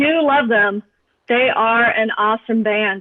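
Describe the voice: A woman talks at a fairly slow pace, her pitch fairly high with ordinary variation. The sound is dry and close, with no echo.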